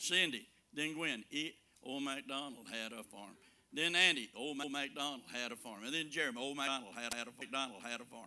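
Speaking fairly quickly with a Southern US accent, the voice has a bright, sharp tone. Loudness swings widely while pitch varies in an ordinary way. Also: man, medium pitch for a man. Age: 70s. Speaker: preacher. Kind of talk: sermon.

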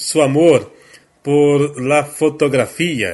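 Speaking at a very slow pace, a man with a Portuguese accent shows ordinary pitch variation. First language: Portuguese (speaking Spanish). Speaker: talk show host. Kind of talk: interview.

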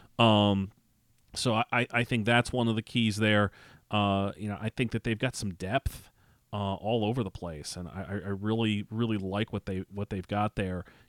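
Here is a man with an ordinary speaking voice, fairly low in pitch, speaking at a moderate pace with fairly even intonation. The sound is dry and close with no echo, a very clean recording with a silent background. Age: 40s. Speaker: college sports writer. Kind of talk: casual chat. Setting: studio.

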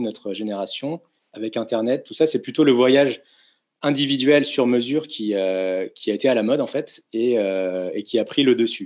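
At a moderate pace, the speaker has an unremarkable speaking voice with ordinary pitch variation. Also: man. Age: 30s. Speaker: tour operator CEO. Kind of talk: interview.

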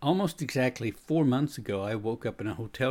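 On a very clean recording with a silent background, a man talks fairly quickly in an ordinary speaking voice with ordinary pitch variation. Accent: American. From United States. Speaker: podcast host and leadership author. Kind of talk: scripted narration.

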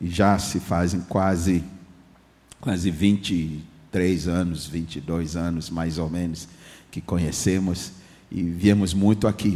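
The man's voice has a dark, mellow tone. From Ghana. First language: English (speaking Portuguese). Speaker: guest pastor. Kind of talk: sermon.

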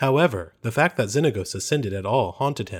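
At a fairly quick pace, a somewhat breathy man at medium pitch makes very wide pitch swings, in a very clean recording with a silent background. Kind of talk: dramatic audiobook narration, parody. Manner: solemn, theatrical, formal storytelling pace.

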